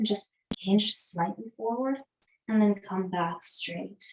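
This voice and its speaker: A woman speaks in a calm tone at a fairly slow pace, her voice somewhat breathy. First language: not English. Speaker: yoga teacher. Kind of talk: guided yoga class. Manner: calm, instructive.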